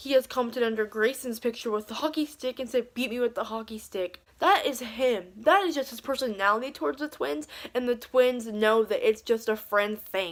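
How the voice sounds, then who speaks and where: Using an ordinary speaking voice, a woman with a fairly high pitch talks at a moderate pace, her pitch varying in an ordinary way. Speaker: beauty and commentary youtuber. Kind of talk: casual vlog commentary.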